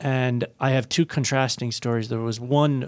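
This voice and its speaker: Against a silent background in a very clean recording, a man with an Irish accent speaks at a moderate pace with monotone, flat intonation. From Ireland. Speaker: chief investment officer. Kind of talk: radio panel discussion.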